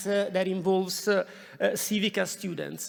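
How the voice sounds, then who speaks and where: A man's high-pitched voice moves along at a moderate speed. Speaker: university professor. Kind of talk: formal welcome speech. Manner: halting, many fillers.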